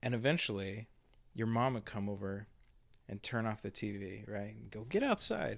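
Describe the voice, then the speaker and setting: A man's fairly low voice with vocal fry, fairly even intonation and big swings in loudness. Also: moderate pace, very clean recording, silent background. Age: 40s. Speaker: pastor. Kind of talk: casual chat. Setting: home studio in a spare bedroom.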